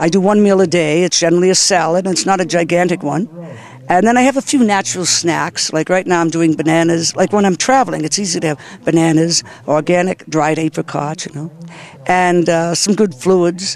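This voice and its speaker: The man's high voice, with ordinary pitch variation, moves fairly quickly over noticeable background noise. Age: 60s. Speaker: health and wellness expert. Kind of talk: interview. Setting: festival. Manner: animated.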